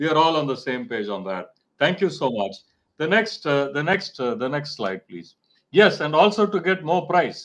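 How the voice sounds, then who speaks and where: With vocal fry in his voice, a man speaks at a moderate pace with very wide pitch swings. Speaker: marketing professor. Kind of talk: webinar lecture. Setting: video call. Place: home room. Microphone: video call.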